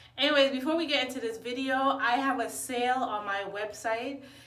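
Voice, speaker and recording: A woman's high-pitched voice, with audible room echo. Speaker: vlogger. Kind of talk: casual vlog chat. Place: bathroom. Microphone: phone near.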